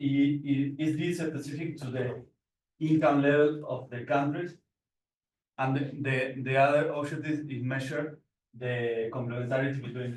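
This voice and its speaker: A man speaks at a moderate pace in a medium pitch, his voice somewhat breathy. His intonation is flat and monotone. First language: Spanish. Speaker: PhD researcher presenting paper. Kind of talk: conference presentation. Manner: halting, many repetitions and fillers.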